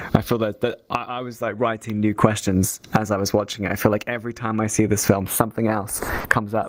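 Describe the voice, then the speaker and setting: Over noticeable background noise, a man speaks very fast at a fairly low pitch with monotone, flat intonation. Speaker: festival Q&A moderator. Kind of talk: Q&A interview. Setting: virtual screening in VR. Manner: halting, stuttering.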